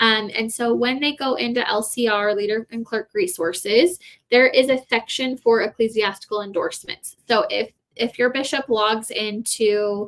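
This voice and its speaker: This woman's voice sits fairly high and has ordinary pitch variation. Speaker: university support staff answering questions. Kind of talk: live Q&A stream. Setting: live stream. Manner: fast.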